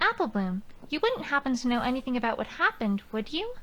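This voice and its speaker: A female-sounding put-on character voice rattles along at a very fast pace in a high pitch. Background noise is clearly heard. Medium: video game. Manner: calm, inquisitive.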